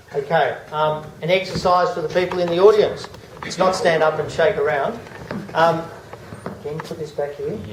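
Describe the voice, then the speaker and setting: A man with an Australian accent, high in pitch and fairly even in intonation, at a moderate pace with long, frequent pauses, amid noticeable background noise and audible room echo. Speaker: acoustician. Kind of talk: public presentation. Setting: public meeting with audience. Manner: monotone.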